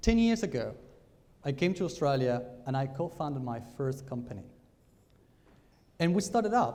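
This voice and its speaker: A man's fairly high voice with a dark, mellow tone, very wide pitch swings, a moderate pace, long, frequent pauses and audible room echo. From Argentina. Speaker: business speaker. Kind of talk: conference talk. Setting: stage with audience.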